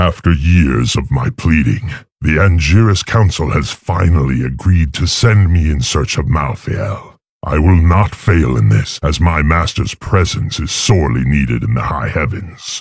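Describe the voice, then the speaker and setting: Using a put-on character voice, a man speaks at a moderate pace with a very deep, low pitch. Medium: video game. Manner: cold, contemptuous.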